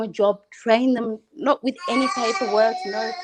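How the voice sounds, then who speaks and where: At a moderate pace, a woman with an Australian accent speaks at a fairly high pitch with ordinary pitch variation. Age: 30s. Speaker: caller on a livestream. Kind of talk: casual chat.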